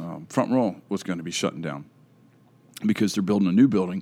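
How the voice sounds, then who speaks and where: Using a northern US accent, a man speaks at a moderate pace in a dark, mellow, fairly low voice with lively intonation. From US North. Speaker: podcast host. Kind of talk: casual chat.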